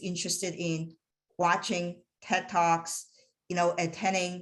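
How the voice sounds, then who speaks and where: Against a quiet background, a woman with a fairly low pitch speaks in a bright, sharp tone with monotone, flat intonation. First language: not English. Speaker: aerospace engineering director. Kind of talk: motivational talk to students. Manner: halting.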